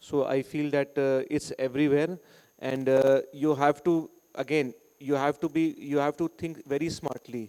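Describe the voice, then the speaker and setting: Dry and close with no echo, a man in an Indian accent speaks at a moderate pace in a fairly high, dark, mellow voice with monotone, flat intonation. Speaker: school director. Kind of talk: podcast interview. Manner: halting, many fillers.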